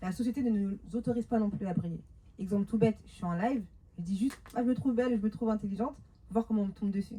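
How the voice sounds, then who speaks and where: A woman's fairly high voice, very fast and animated, with big swings in loudness. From France, Paris suburbs (Montreuil). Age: 30s. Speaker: women's life coach. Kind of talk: talk to a live audience. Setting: stage with audience.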